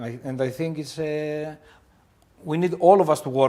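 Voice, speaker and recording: With a Greek accent, a man speaks at a fairly high pitch in a dark, mellow tone, his pitch varying in an ordinary way. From Greece. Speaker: restaurant owner. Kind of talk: podcast interview. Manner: halting, with many fillers.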